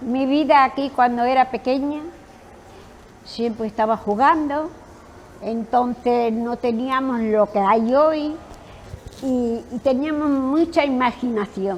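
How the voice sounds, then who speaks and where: A woman with a high pitch speaks at a very slow pace, with ordinary pitch variation and long, frequent pauses. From Spain, Extremadura (north Cáceres). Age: 90s. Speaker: retired spa worker. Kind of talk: interview reminiscence.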